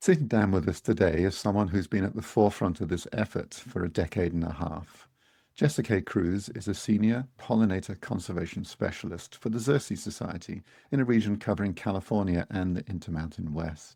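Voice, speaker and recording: Speaking with a British accent, a man with a dark, mellow tone and a fairly low pitch talks at a fairly quick pace with ordinary pitch variation, on a very clean recording with a silent background. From Britain. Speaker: podcast co-host. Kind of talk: scripted introduction.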